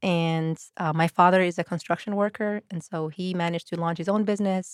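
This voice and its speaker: On a very clean recording with a silent background and a dry, close sound with no echo, a woman with a fairly low pitch talks at a fairly quick pace. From Switzerland, then Sweden and UK (Birmingham). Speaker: director of entrepreneurship programs. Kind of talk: podcast interview.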